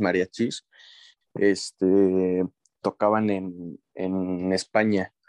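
The sound is dry and close, without echo. It carries a man's speech. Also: quiet background. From Mexico, rural ranch. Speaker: podcast co-host. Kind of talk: casual chat.

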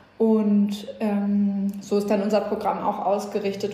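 Noticeable background noise and audible room echo surround the speaker. The delivery moves at a moderate pace. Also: woman. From northern Germany, Schleswig-Holstein. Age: 30s. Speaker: music festival organizer, gender equality initiative member. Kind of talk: interview, casual conversation.

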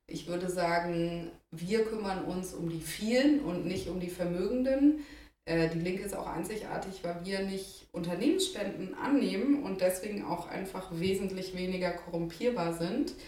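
Amid audible room echo and noticeable background noise, a woman with a medium pitch talks at a moderate pace with lively intonation. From Denmark (Copenhagen), born in Heidelberg. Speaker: politician, election candidate. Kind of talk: interview.

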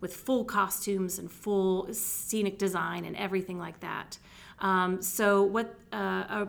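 With an unremarkable speaking voice, a woman talks at medium pitch with fairly even intonation. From Texas. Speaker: theater director and department chair. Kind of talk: interview.

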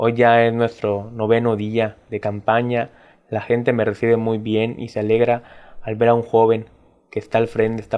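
A man's voice at medium pitch, at a moderate pace. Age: 20s. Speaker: political candidate. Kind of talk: interview, campaign talk. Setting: studio.

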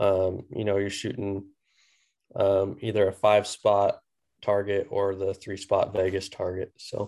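A man's dark, mellow tone in a Midwestern American accent, monotone and flat in intonation, at a fairly slow pace against a quiet background. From US Midwest, central Missouri. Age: 20s. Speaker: competitive archer and bow hunter. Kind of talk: casual interview.

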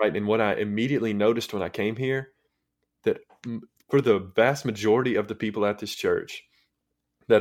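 Fairly even intonation marks this man's speech, pitched fairly low. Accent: strong Southern US. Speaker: high school ministry intern. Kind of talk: casual podcast chat about faith.

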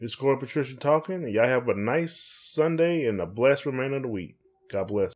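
Lively intonation drives speech delivered at a very fast pace. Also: man, medium pitch for a man. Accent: American. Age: 40s. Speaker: podcast co-host. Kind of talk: casual chat. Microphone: USB microphone, sound issues.

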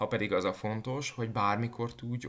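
An ordinary speaking voice from a man at a medium pitch and a fairly slow pace. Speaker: fitness instructor. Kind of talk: scripted narration.

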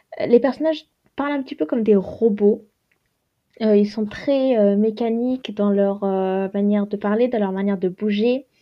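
This woman's fairly high voice moves at a moderate speed and has ordinary pitch variation. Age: 20s. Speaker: podcaster and university student. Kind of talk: casual solo monologue. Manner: halting, many fillers.

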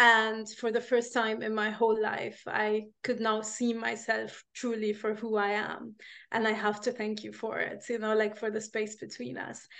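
With an Arabic accent, a woman with a fairly high pitch talks in a flat monotone, hardly pausing, against a quiet background. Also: moderate pace. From Egypt. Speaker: life coach. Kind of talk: casual chat. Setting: video call.

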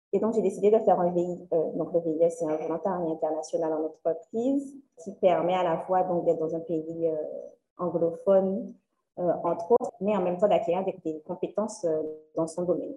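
A woman speaks at a moderate pace with a dark, mellow tone. Her pitch is fairly low, with ordinary pitch variation. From Guadeloupe (Le Moule, Sainte-Anne). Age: 20s. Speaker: career coach. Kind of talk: interview.

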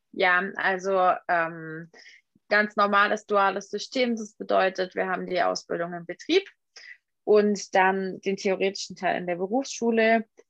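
Over a quiet background, a woman speaks at medium pitch with fairly even intonation. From Swabian Alb, southern Germany. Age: 20s. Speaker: photographer. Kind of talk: interview.

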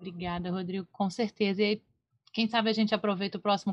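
A woman talks very fast in a monotone with flat intonation. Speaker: podcast co-host. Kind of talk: casual chat.

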